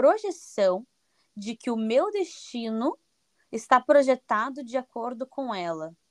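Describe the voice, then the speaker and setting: A woman speaks with lively intonation in a dry, close sound with no echo, on a very clean recording with a silent background. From Brazil, Paraná (Curitiba area). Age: 20s. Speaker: Brazilian immigrant in Portugal. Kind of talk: podcast interview.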